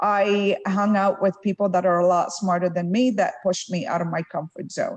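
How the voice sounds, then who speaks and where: A woman with an Arabic accent speaks at a moderate pace. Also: medium pitch for a woman, fairly even intonation. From Lebanon. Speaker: tech executive. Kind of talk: fireside chat interview.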